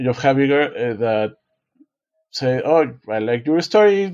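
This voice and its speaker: A man with a dark, mellow tone speaks at a very slow pace, the sound dry and close with no echo. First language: Spanish. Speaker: author and design professor. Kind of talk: podcast interview. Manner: halting, many self-corrections.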